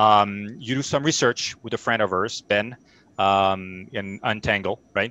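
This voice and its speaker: With a French accent and fairly even intonation, the voice sounds dry and close with no echo on a very clean recording with a silent background. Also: man. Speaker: sports show host. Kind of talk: interview.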